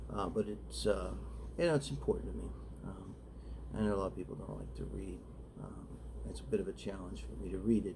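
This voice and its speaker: Soft-spoken and very fast, a man with a very deep, low pitch speaks in a dark, mellow tone with vocal fry and ordinary pitch variation. His loudness swings widely, long, frequent pauses break his speech, and audible room echo is present. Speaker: writer reading own short story. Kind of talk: casual talk then reading aloud. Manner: halting, many fillers.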